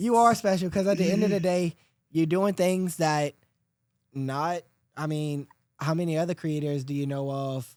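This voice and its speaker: A man at a moderate pace with ordinary pitch variation, in a very clean recording with a silent background. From South Louisiana. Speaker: podcast host. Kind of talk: casual chat. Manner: animated.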